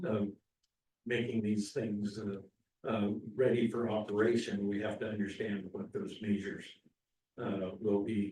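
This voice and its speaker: Dark and mellow in tone, a man's fairly low, somewhat breathy voice stays monotone and flat. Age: 70s. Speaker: board member. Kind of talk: public board meeting discussion. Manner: halting, many fillers.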